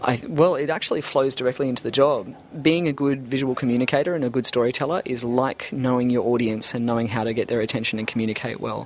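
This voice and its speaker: A man with an Australian accent talks at a very fast pace with hardly any pauses, his medium-pitched voice showing ordinary pitch variation over noticeable background noise. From Australia, Brisbane. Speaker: 3D animator. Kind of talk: interview.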